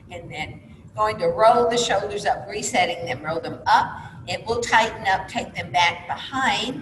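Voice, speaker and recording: A woman's medium-pitched voice, calm in tone, with lively intonation, a moderate pace and big swings in loudness, amid audible room echo and noticeable background noise. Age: 60s. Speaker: fitness instructor. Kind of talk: exercise class instruction. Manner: calm, encouraging.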